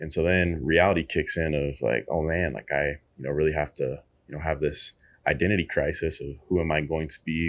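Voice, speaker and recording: A man with an American accent and a very deep, low pitch, vocal fry, a moderate pace, on a very clean recording with a silent background. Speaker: former college basketball player and coach. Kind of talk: casual interview chat.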